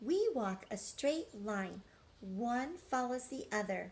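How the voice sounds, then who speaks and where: A woman puts on a character voice, high-pitched with very wide pitch swings. She talks at a very slow pace. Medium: read story.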